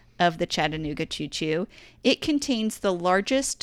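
This woman, speaking at a moderate pace with a Southern US accent and a fairly low pitch, is captured in a very clean recording with a silent background and a dry, close sound free of echo. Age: 40s. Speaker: podcast co-host. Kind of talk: casual chat.

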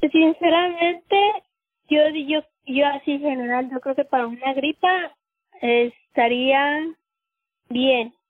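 A woman's high-pitched voice at a very slow pace, with long, frequent pauses, ordinary pitch variation and music in the background. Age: 30s. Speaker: cleaning worker and patient's mother. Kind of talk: personal testimony. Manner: halting, with filler words.

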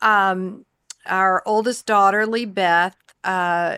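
A woman with a Southern US accent speaks at a medium pitch in a bright, sharp tone and monotone, flat intonation, on a very clean recording with a silent background. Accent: Southern American. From US South, the Carolinas. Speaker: pastor's wife and speaker. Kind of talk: casual chat.

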